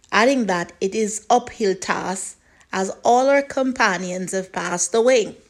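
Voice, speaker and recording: In a normal speaking voice, a woman talks at a fairly slow pace with a medium pitch and ordinary pitch variation. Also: very clean recording, silent background. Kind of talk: news article read aloud.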